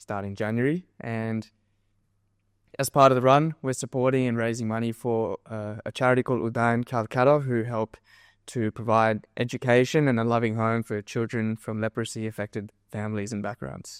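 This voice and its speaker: A man speaks with an Australian accent at a medium pitch and a moderate pace, with fairly even intonation. The recording is very clean with a silent background, and the sound is dry and close with no echo. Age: 20s. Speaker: physiotherapy student and endurance runner. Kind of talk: podcast interview. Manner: halting, many fillers.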